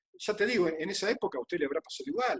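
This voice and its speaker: Very wide pitch swings mark this fairly quick speech, recorded with a dry, close sound and no echo. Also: man. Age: 60s. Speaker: physical trainer. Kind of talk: interview. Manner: halting, with many repetitions.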